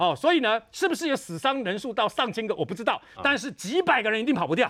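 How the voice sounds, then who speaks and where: A man talks at a very fast pace with very wide pitch swings. His tone is bright and sharp. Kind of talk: TV panel discussion. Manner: animated.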